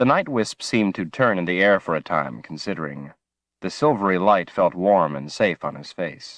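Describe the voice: The background is quiet during this plain reading aloud.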